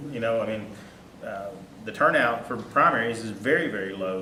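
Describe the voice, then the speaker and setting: At a fairly quick pace, a man with an Arkansas accent speaks at medium pitch amid audible room echo and noticeable background noise. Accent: Southern US (Arkansas). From Texarkana area, Arkansas/Texas border. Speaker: lawyer and political candidate. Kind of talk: speech at a political meeting.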